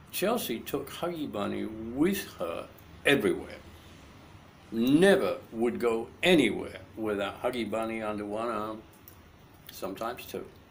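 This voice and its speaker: The pace is fairly slow, with long, frequent pauses. Audible room echo surrounds the voice. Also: man. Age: 60s. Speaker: grandfather telling family stories. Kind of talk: storytelling to a grandchild. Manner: halting.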